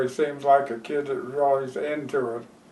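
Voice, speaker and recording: Audible room echo surrounds a man speaking at a very slow pace in a fairly high pitch. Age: 70s. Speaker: horse breeder. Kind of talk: interview storytelling. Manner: hesitant, with fillers.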